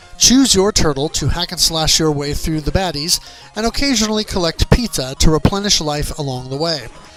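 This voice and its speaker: Over music in the background, a man with a fairly high pitch talks at a fairly quick pace with lively intonation. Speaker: game reviewer and video host. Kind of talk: dramatic review reading to camera, reading aloud with punch and personality. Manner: animated, expressive, punchy.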